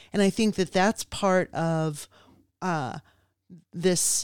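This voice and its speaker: This woman has a normal speaking voice, fairly low in pitch with ordinary variation, at a fairly slow pace. The very clean recording is dry and close, with no echo and a silent background. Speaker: podcast co-host. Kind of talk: casual conversation.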